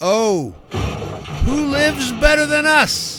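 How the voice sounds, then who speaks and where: A man uses a put-on character voice at a very slow pace, with clear background noise. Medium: audio drama. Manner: gruff pirate speech, dropped letters.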